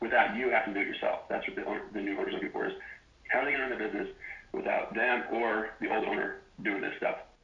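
Speech comes at a very fast pace over noticeable background noise, with audible room echo. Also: man. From Wyoming. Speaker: former real estate appraiser, business owner. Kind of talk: interview. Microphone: phone backup recording, poor audio.

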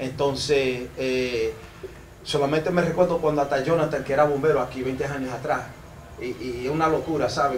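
A man speaks at a fairly quick pace with a fairly high pitch and fairly even intonation. Room echo is audible, with light background noise. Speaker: foundation representative; guest. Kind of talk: ceremony speech. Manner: halting. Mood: grateful, slightly nervous. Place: hall. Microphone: handheld.

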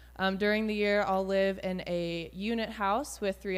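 At a moderate pace, a woman speaks in a medium pitch. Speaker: volunteer. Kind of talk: testimony. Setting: church. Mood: friendly, slightly nervous. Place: church. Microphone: handheld.

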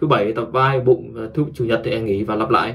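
A man talks at a fairly quick pace. His tone is fairly bright.

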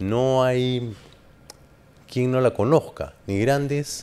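Very slowly, a man speaks in a dark, mellow tone with fairly even intonation and long, frequent pauses. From Peru, Lima (Barranco). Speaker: interview show host. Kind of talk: casual interview. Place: studio. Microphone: studio mic.

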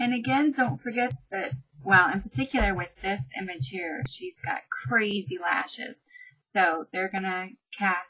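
A woman speaks at a medium pitch in a bright, sharp tone with a slightly husky edge and ordinary pitch variation.

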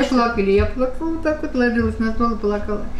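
A woman keeps up a fairly quick pace while noticeable background noise sounds around her. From Russia. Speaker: pensioner. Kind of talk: interview answer. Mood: reflective, emotional memories. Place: kitchen.

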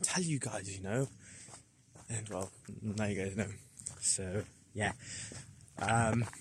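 The voice is somewhat breathy with ordinary pitch variation, moving at a very slow pace in a dry sound with no echo over light background noise. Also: man, fairly low pitch for a man. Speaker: vlogger. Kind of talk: casual vlog chat. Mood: cheerful, excited. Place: forest. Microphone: phone near.

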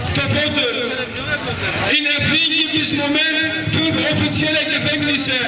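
A man talks in a room with audible echo while crowd noise fills the background. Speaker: speaker. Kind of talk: protest speech. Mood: serious, accusatory. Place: street. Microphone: handheld.

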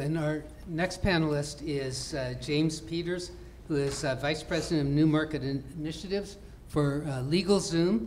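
With faint background noise, a man speaks at a fairly high pitch and a slightly mellow tone, leaving few pauses. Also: ordinary pitch variation, moderate pace.

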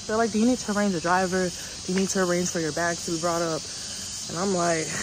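A woman with a fairly low voice talks very fast in a fairly even tone, the sound dry with no echo and noticeable background noise behind her. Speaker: travel vlogger. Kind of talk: casual vlog chat. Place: garden. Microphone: earbuds.

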